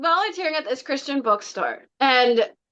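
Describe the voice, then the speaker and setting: A woman's high-pitched, raised and projected voice, animated in tone, bright and sharp. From Canada, Scarborough, Toronto. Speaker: tarot deck creator. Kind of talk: casual interview chat.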